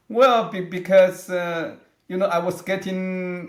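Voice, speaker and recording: Against audible room echo, a man speaks at a very slow pace with a high pitch. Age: 60s. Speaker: aging researcher, scientist. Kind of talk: interview. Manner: halting, with many fillers and restarts.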